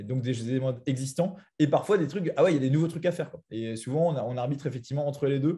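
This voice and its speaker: Somewhat breathy, a man speaks with a dark, mellow tone at a fairly high pitch, with ordinary pitch variation. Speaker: product manager presenting a software tool. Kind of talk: webinar presentation with Q&A. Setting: online video call with screen share. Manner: very fast; hesitant, many fillers.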